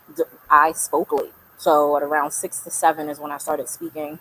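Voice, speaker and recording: A woman with a New York accent talks at a fairly quick pace. Her pitch is very deep and low, her intonation monotone and flat. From New York, Brooklyn. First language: Spanish. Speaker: artist and community leader. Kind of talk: interview conversation.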